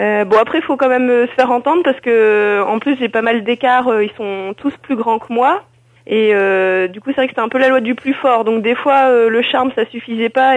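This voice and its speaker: The speaker is a woman with a fairly high pitch. She moves at a moderate pace with ordinary pitch variation. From northern France (Nord, Lille). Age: 20s. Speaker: wheelchair basketball player. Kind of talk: interview. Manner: halting, many fillers.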